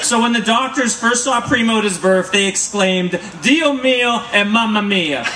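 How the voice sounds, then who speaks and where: A man with a high pitch projects a raised voice at very even loudness and a moderate pace, hardly pausing, amid audible room echo and light background noise. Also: ordinary pitch variation. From US, San Jose California. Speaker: councilmember doing roast comedy. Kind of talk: roast comedy. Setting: stage with audience. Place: stage. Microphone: camera far.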